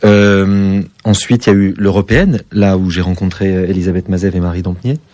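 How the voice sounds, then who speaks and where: A man speaks at a fairly quick pace. His voice sits fairly low in pitch. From southwest France. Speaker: stage actor. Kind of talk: radio interview. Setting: radio studio. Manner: precise, distinctive diction.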